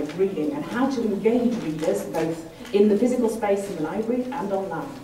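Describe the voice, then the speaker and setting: A woman with an English accent talks fairly quickly with very wide pitch swings, amid audible room echo and noticeable background noise. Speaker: library consultant. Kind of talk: conference talk.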